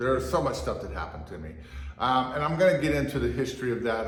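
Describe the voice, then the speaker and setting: The man's pitch swings very widely, with audible room echo and noticeable background noise in the recording. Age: 60s. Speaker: fitness and martial arts vlogger. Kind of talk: casual monologue. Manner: halting.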